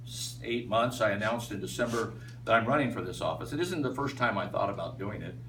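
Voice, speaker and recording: A man with an American accent and audible room echo. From Iowa, US Midwest. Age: 60s. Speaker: political candidate. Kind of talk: campaign speech. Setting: meet and greet with audience. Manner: halting, many fillers.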